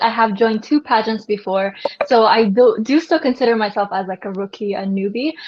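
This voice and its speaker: A woman talks at a fairly quick pace in a normal speaking voice. Her pitch is fairly high, with ordinary variation. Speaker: beauty pageant contestant. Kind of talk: casual chat.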